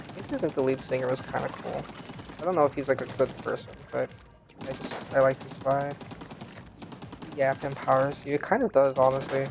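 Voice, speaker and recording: Mumbling speech at a fairly quick pace, broken by long, frequent pauses, over noticeable background noise. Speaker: vtuber game streamer. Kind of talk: casual gaming livestream chat. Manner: mumbly; casual, filler-heavy.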